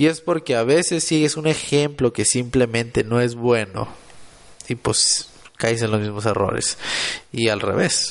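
At a fairly slow pace, a man talks in a normal speaking voice at medium pitch, with ordinary pitch variation. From Mexico, Monterrey, Nuevo León. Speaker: podcaster and motivational content creator. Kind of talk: motivational solo podcast monologue.

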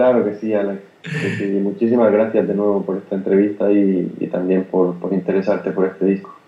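At a moderate pace and with fairly even intonation comes a plain, everyday voice. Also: man, fairly low pitch for a man, hardly any pauses. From Spain, Granada (Andalusia). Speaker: jazz pianist. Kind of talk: interview.

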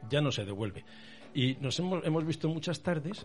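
With lively intonation, a man talks at a moderate speed. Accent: Old Castilian. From Castile, Palencia. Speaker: bullfighting pundit. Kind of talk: casual chat.

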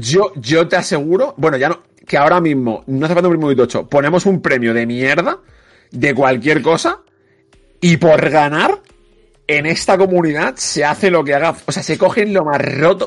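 A plain, everyday voice talks at a moderate pace with ordinary pitch variation. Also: man, fairly high pitch for a man. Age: 30s. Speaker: esports commentator. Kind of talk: casual chat.

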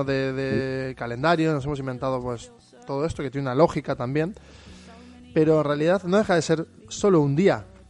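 Using a normal speaking voice, a man talks at a fairly high pitch and a fairly quick pace with ordinary pitch variation. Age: 30s. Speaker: podcast host. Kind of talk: casual chat.

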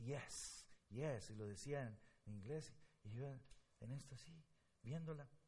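Somewhat breathy and dark, mellow in tone, a man speaks at medium pitch with ordinary pitch variation. His very slow pace includes long, frequent pauses, and the room echo is audible. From Guatemala. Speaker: pastor. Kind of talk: sermon. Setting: church.

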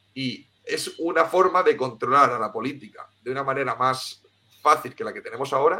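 A man's fairly high, bright and sharp voice at a moderate pace, with ordinary pitch variation. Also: big swings in loudness. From Spain, Cartagena (Murcia). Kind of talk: interview. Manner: halting, with many repetitions.

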